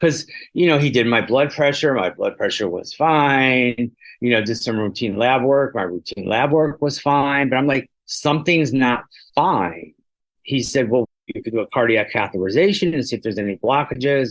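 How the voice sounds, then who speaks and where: Against a quiet background, a man with a normal speaking voice talks at a moderate pace, at medium pitch and with ordinary pitch variation. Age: 60s. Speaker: patient living with HIV. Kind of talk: testimony.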